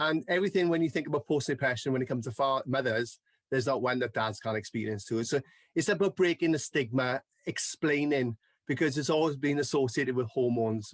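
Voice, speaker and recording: A man with a South Wales Valleys accent at a very fast pace, medium in pitch with ordinary pitch variation, the sound dry and close with no echo over a quiet background. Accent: Welsh (South Wales valleys). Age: 40s. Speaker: mental health advocate. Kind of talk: podcast interview.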